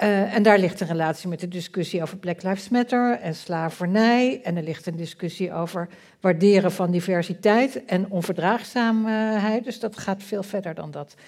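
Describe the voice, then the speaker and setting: A plain, everyday voice from a woman at medium pitch and a moderate pace, with ordinary pitch variation and a very clean recording with a silent background. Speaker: politician and political scientist. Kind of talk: panel discussion. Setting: stage with audience.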